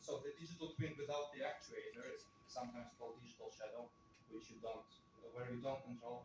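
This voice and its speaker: Audible room echo follows a man as he speaks at a very fast pace. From Russia. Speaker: researcher presenting a paper. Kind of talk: conference Q&A. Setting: conference room with audience.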